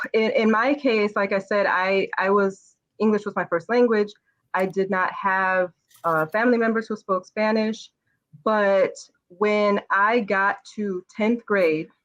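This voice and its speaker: With an American accent, a woman speaks in a normal speaking voice at a medium pitch with fairly even intonation. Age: 30s. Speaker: educator and business owner. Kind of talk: interview.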